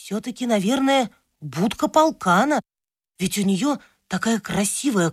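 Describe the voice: Someone reads aloud plainly. Behind the voice, the background is quiet.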